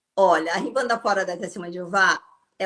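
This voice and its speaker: A woman speaks with a bright, sharp tone. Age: 60s. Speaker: former Jehovah's Witness, ex-salon owner. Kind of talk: interview.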